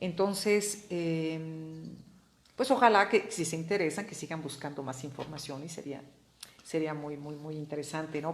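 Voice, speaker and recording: Ordinary pitch variation with audible room echo. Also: woman. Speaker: art history speaker. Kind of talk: informal lecture. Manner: halting, many repeated words.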